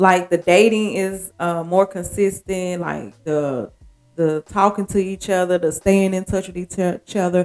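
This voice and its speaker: A woman at a medium pitch, fairly slow pace and fairly even intonation. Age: 40s. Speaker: podcast host. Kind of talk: casual monologue. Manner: casual, conversational.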